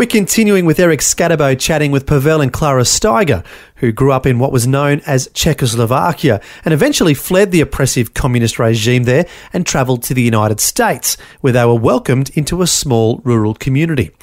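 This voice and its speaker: Speaking fairly quickly with an Australian accent, a man has a fairly high pitch. His intonation is lively. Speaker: radio host. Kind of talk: scripted narration.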